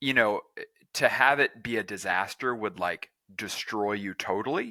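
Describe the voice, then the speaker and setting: A man with an American accent speaks at a fairly low pitch in a bright, sharp tone. The recording is very clean with a silent background, and the sound is dry and close with no echo. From Texas. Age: 30s. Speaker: tech entrepreneur. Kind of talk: podcast interview.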